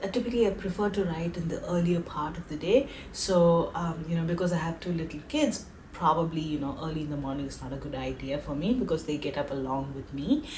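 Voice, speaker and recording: Over light background noise, a woman speaks very fast at a fairly low pitch with ordinary pitch variation. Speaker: vlogger. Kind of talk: casual vlog chat.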